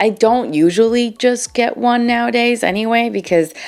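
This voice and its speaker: A woman speaks with music in the background. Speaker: beauty YouTuber. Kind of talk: product review vlog. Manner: animated.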